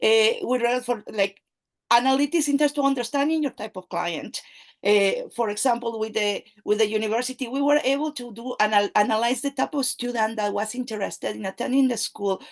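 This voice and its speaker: A woman with a Spanish accent and a high pitch at a fairly quick pace, the sound dry and close with no echo. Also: ordinary pitch variation. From Mexico. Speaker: AI and data analytics expert, company CEO. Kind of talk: interview conversation. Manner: halting, many fillers.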